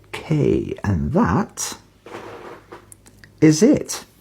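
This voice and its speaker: A woman speaks quietly with a British accent. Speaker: beer reviewer. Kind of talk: casual video review.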